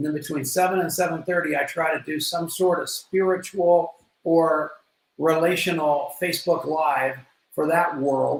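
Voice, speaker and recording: A man speaks in a high pitch with monotone, flat intonation. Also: moderate pace. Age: 70s. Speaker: recovery speaker and motivational coach. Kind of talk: interview.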